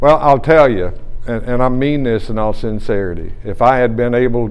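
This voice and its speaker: With audible room echo, a man speaks at a moderate pace using ordinary pitch variation. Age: 60s. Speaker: retiring radio play-by-play broadcaster. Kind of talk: press conference. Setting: press conference with reporters.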